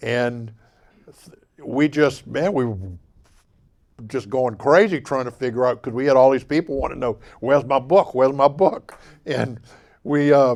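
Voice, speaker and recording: Against a quiet background, a man with a Mississippi accent speaks at a medium pitch with ordinary pitch variation and long, frequent pauses. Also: moderate pace. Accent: Southern US, Mississippi. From Bay St. Louis, Mississippi. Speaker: local historian, artist, and musician. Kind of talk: author talk. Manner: casual, folksy.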